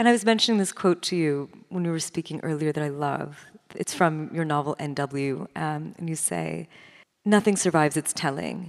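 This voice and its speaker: Her very deep, low pitch and ordinary pitch variation carry as the woman speaks at a moderate pace. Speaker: literary critic and interviewer. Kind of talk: onstage interview. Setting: stage with audience.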